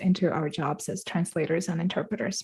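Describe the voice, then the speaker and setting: Speaking in a Russian accent, a woman sounds somewhat breathy at a moderate pace. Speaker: translator. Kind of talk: storytelling. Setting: live-streamed online event.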